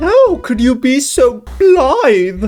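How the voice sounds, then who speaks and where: A high-pitched, put-on character voice plays over faint music in the background. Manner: silly, comic.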